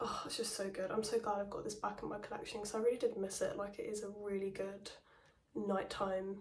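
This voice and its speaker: A woman speaks at a fairly quick clip in a flat, monotone delivery. Noticeable background noise runs underneath. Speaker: perfume reviewer. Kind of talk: casual talk to camera.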